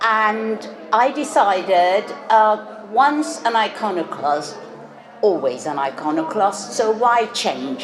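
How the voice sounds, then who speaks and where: At a very slow pace, a woman with a fairly high pitch speaks in very wide pitch swings against noticeable background noise. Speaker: retired academic speaker. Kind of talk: speech at community event.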